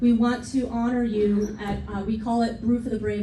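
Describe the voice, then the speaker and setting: With noticeable background noise and audible room echo, a woman talks at a moderate pace and a fairly high pitch. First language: not English. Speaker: veterans' organization chapter president. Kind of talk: speech to an audience. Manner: emotional, heartfelt.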